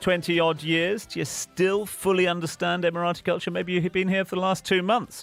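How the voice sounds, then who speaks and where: With music in the background, a man talks at a moderate pace in a high pitch. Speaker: radio presenter. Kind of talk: radio show host talk. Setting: studio.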